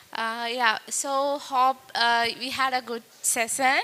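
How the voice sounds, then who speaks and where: In a raised, projected voice, a woman speaks with a Tamil accent at a high pitch. Her pace is fairly slow. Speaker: event host. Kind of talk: event hosting. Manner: halting.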